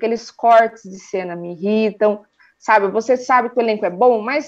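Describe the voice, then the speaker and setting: A woman talks at a moderate pace in an ordinary speaking voice, fairly high in pitch. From Sorocaba, interior of São Paulo, Brazil. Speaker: YouTuber, TV series reviewer. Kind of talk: casual interview chat.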